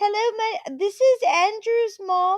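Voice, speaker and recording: A woman's put-on character voice at an extremely high pitch and a fairly slow pace. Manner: pretending to be a mother.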